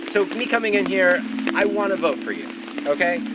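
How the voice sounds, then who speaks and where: A man talks at a fairly quick pace, with audible room echo and noticeable background noise. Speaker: jury member on amateur reality show. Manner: loud.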